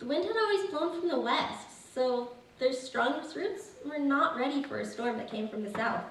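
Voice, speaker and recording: Over noticeable background noise, a woman with an American accent speaks at a moderate pace in a high pitch with very wide pitch swings. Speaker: Appalachian amateur writer reading her own story at a women's reading event. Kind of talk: live story reading at a public event.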